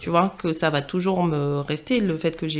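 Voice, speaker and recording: Pitched fairly low, a woman talks with ordinary pitch variation. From Martinique, then Paris region from age 12. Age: 20s. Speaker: podcast guest. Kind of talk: interview. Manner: hesitant, many fillers.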